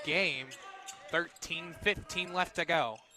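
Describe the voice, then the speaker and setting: Over noticeable background noise, a man with a high pitch talks at a very slow pace. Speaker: radio play-by-play announcer. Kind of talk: live sports radio play-by-play.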